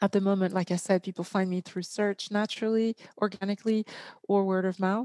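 A woman's dark, mellow voice with a non-native accent, medium in pitch, monotone and flat, at a fairly quick pace in a dry, close sound with no echo. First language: not English. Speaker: entrepreneur and author. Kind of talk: interview. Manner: halting, many fillers.

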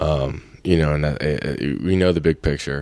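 In an American accent, a man talks with a very deep, low pitch. His intonation is monotone and flat, on a very clean recording with a silent background. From Florida, US. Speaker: football player. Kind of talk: casual interview.

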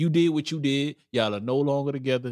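A man talking at a moderate pace. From Brooklyn, New York. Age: 30s. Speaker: podcast host. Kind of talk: casual chat.

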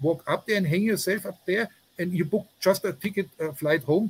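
A high-pitched man's voice in a German accent, with lively intonation and a moderate pace. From Germany. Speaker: journalist. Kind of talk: interview. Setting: remote call outdoors with jungle noises. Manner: halting, many fillers.

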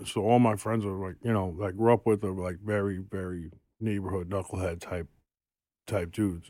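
In a very clean recording with a silent background, a man with a New York accent speaks at a moderate pace in a very deep, low pitch, his tone dark and mellow and his intonation fairly even. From New York City, Queens. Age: 40s. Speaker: tattoo artist. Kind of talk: casual chat. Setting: studio.

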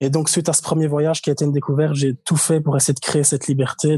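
Somewhat breathy and dark, mellow in tone, a man talks at a very fast pace with monotone, flat intonation. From Belgium, Liège. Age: 20s. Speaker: traveler. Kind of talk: casual interview.

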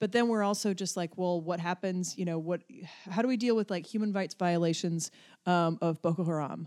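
With an American accent, a woman talks at a fairly quick pace in a fairly low pitch, an unremarkable speaking voice with ordinary pitch variation and a dry, close sound with no echo. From western North Carolina mountains. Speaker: comedy director. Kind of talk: casual chat.

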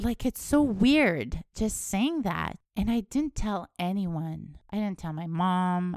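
A woman with a Canadian accent and lively intonation, in a dry, close sound with no echo on a very clean recording with a silent background. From Canada, northern Alberta. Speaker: podcast host. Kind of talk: personal storytelling monologue.

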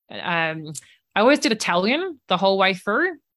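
A woman with an Australian accent, medium pitch, a bright, sharp tone and a fairly quick pace. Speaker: career advice podcast host. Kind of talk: interview conversation.

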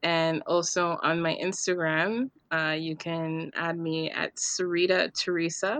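A woman with an ordinary speaking voice talks at a fairly slow pace and fairly low pitch, with fairly even intonation, hardly any pauses and a quiet background. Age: young. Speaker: painter. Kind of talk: casual interview.

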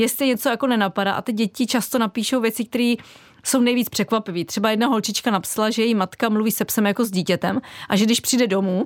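Her pitch fairly high and her intonation fairly even, a woman speaks at a very fast pace in a dry, close sound with no echo. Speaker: artist. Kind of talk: radio interview. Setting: studio.

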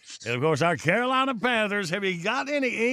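A man with a Southern US accent, moderate pace and lively intonation. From US South. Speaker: radio host. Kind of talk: casual chat. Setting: studio.

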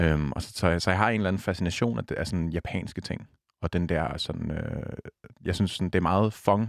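In a very clean recording with a silent background, a man speaks at a very deep, low pitch and a moderate pace with ordinary pitch variation. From Denmark, south Zealand near Næstved. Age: 20s. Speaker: radio host. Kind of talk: casual chat.

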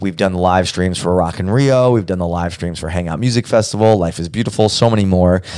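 A man with an American accent speaks at a very deep, low pitch with ordinary pitch variation. He goes at a very fast pace with hardly any pauses. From Brooklyn, New York. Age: young. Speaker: podcast producer and host. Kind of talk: casual chat.

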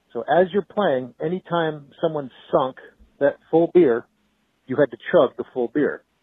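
A man with a fairly high voice speaks at a fairly slow pace, his pitch varying in an ordinary way. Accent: American. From Boston, New England. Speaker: caller. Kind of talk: voicemail.

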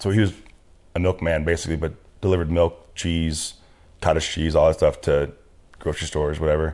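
A man's very deep, low voice in an American accent, flat and monotone, fairly quick yet with long, frequent pauses, over a quiet background. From US West Coast, Orange County, Southern California. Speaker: army veteran. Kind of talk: casual interview about his life story. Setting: studio.

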